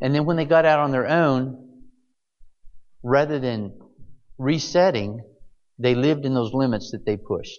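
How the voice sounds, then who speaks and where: Amid audible room echo, a man at medium pitch leaves long, frequent pauses. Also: ordinary pitch variation, moderate pace. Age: 60s. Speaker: pastor. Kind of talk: sermon.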